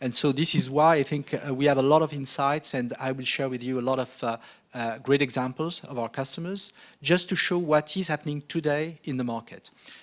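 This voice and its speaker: Speaking with a slight French accent, a man with a fairly high pitch talks at a fairly quick pace with fairly even intonation. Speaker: marketing director presenting at a conference. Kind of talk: conference presentation. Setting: conference stage with audience. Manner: hesitant, many fillers.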